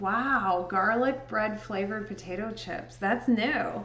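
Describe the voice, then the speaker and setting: A woman speaks at a fairly slow pace and medium pitch with ordinary pitch variation. Audible room echo surrounds her, and faint music plays in the background. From US Midwest, southern Indiana. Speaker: livestreamer and photo editor; livestreamer. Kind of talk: casual chat. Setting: livestream. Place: home room.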